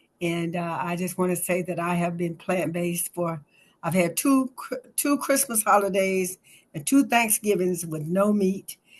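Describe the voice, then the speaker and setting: A woman speaks with a medium pitch and a somewhat breathy sound. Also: ordinary pitch variation, moderate pace. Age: 70s. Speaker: class participant. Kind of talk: testimony. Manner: halting.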